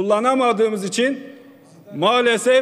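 A man speaks with a Kurdish accent at a high pitch. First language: Kurdish (speaking Turkish). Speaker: member of parliament. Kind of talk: parliamentary speech. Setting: parliament chamber. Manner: formal. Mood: earnest, appealing. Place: hall. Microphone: podium.

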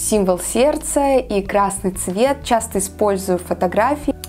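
A woman's very slow speech over faint background music. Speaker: photographer vlogger. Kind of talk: casual vlog chat. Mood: calm, warm. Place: home room.

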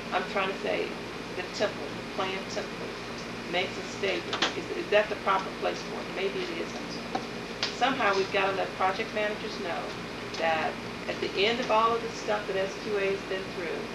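A woman keeps a moderate pace while loud noise fills the background. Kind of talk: work meeting discussion. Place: meeting room. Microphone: old recording.

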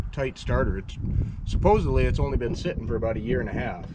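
A man speaks over loud background noise. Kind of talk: casual vlog chat. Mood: mildly disappointed. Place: open country. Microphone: phone near.

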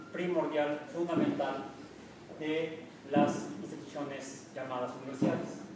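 There is strong room echo and noticeable background noise. Through it, a man talks at a moderate pace. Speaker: university professor giving a talk. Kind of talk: lecture. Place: hall. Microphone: camera far.

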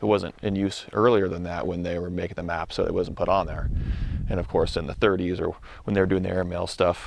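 Very deep and low, a man's voice moves at a very fast pace. Light background noise sits behind it. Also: dry sound with no echo. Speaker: explorer vlogger. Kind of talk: casual vlog narration. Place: open country. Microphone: phone near.

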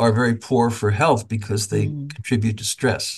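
The voice is somewhat breathy, with fairly even intonation. It moves at a moderate pace against a quiet background. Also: man. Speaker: medical ethics professor. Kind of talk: panel discussion.

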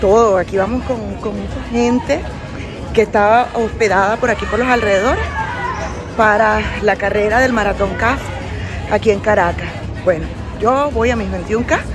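Moderate pace and ordinary pitch variation, dry sound with no echo, and clear music in the background. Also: woman. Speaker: amateur runner vlogger. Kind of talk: casual vlog chat. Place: street. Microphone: phone near.

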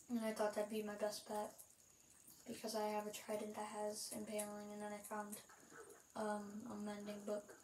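A woman speaks in a fairly high, monotone, flat voice with long, frequent pauses. Audible room echo and light background noise are present. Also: moderate pace. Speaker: gaming youtuber; gamer. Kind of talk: gameplay commentary. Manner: halting, many fillers. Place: home room. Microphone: phone near.

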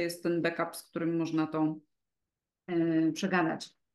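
Behind this woman, the background stays quiet. She talks at a moderate pace. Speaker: coach, podcast co-host. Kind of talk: interview answer. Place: home room. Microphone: video call.

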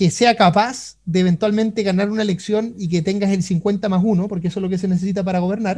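A man's high, dark, mellow voice with a Chilean accent, at a fairly quick pace over a quiet background. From Chile, Concepción. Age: 30s. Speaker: economist; guest. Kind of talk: interview. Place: home room. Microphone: video call.

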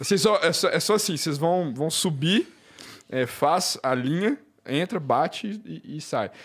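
A man's high-pitched voice with lively intonation, at a fairly slow pace against a quiet background. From Brazil, Belo Horizonte (Minas Gerais); Minas Gerais, Brazil. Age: 20s. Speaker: engineer, space tourist; podcast guest. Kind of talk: casual chat. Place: studio. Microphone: studio mic.

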